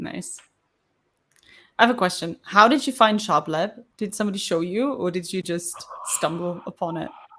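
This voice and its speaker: Speaking at a moderate pace with a non-native accent, a woman uses a medium pitch, ordinary pitch variation and a bright, sharp tone, pausing long and often. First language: not English. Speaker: co-host of a live coding stream. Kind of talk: casual chat. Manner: animated.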